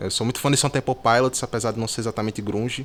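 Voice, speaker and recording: Speaking with ordinary pitch variation, the man keeps his voice at a medium pitch. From Brazil, Natal, Rio Grande do Norte. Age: 20s. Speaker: singer-songwriter and music producer. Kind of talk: interview. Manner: casual, hesitant with fillers.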